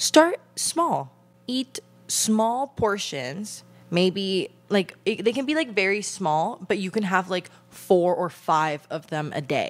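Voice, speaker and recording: The voice moves at a very slow pace with very wide pitch swings. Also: woman. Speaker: podcast host. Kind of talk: casual podcast advice talk. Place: home room. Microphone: handheld.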